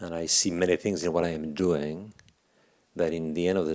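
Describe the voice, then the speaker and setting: Very deep and low, a man's voice holds a monotone, flat intonation in a very clean recording with a silent background. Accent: French. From France, Paris. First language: French. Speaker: leadership speaker. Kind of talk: workshop talk. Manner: halting.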